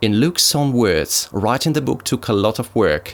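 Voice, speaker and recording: A man with a Russian accent at a moderate pace. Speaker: YouTuber reviewing druidry books. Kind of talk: book review. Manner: formal.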